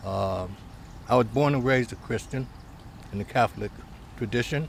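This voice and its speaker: A man's voice with an American accent and vocal fry, with ordinary pitch variation. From Cleveland, Ohio, US. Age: 60s. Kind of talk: life story interview. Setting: seated at a table. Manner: hesitant, many fillers.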